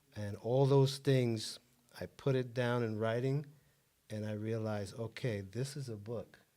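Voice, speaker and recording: This man's tone is dark and mellow. His intonation stays fairly even. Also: medium pitch for a man. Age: 60s. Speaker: author and self-help guest. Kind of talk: interview.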